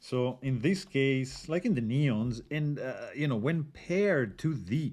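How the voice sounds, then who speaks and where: Against a quiet background, a man talks with an Italian accent. His pitch is medium. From Italy. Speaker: knife reviewer. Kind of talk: tutorial. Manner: casual, halting with fillers.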